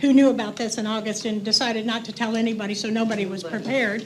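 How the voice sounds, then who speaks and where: Talking very fast with an American accent, a woman with a fairly high voice is heard through audible room echo and noticeable background noise. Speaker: resident speaking at public comment. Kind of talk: public comment. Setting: city council meeting. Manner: halting.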